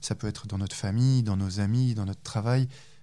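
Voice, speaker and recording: A man with a fairly low pitch and a dark, mellow tone speaks with ordinary pitch variation on a very clean recording with a silent background. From France. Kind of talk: testimony. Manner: halting.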